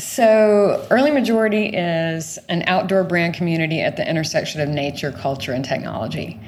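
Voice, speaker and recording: A woman with an American accent talks at a fairly quick pace with lively intonation and hardly any pauses, in a room with audible echo. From US South (rural Georgia, near Savannah). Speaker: business founder and former marketing executive. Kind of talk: casual interview. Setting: online voice chat room. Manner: enthusiastic.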